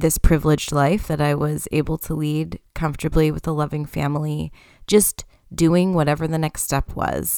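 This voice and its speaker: Very clean recording of a woman with a Canadian accent and a silent background. Her pitch is very deep and low, and her intonation fairly even. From Canada. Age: 30s. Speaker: podcast host, human design coach and teacher. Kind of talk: solo podcast monologue. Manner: casual, conversational with laughter.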